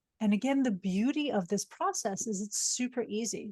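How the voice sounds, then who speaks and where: A woman's fairly high, somewhat breathy voice with a dark, mellow tone and a dry, close sound with no echo. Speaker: psychologist and executive coach. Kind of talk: webinar lecture.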